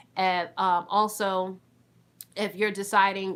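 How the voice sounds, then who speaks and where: The recording is very clean, with nothing in the background. A woman talks at a mid-range pitch. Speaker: notary and notary mentor. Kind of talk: tutorial.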